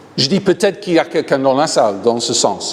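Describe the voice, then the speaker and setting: Noticeable background noise behind a man speaking. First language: English (speaking French). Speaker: pastor, healing evangelist. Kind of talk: sermon. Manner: animated.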